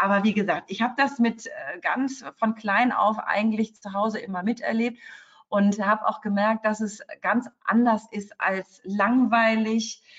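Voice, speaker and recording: Speaking at a fairly slow pace, a woman sounds somewhat breathy. Her pitch is fairly high, and her intonation is fairly even. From Cologne, Rhineland, Germany. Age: 40s. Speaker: lawyer. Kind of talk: interview.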